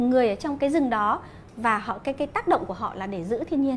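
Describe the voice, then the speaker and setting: Light background noise accompanies a woman speaking at a fairly quick pace with ordinary pitch variation. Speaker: interview guest. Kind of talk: interview answer. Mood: animated storytelling. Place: cafe. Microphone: lapel.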